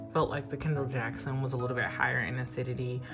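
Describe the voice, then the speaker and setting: Clear music can be heard behind the speaker. The voice belongs to a woman. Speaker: wine vlogger. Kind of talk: casual vlog chat. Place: home room. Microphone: phone near.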